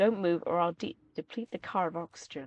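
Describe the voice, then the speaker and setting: Using a put-on character voice, a woman speaks raspy and at a moderate pace with a fairly low pitch. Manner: menacing.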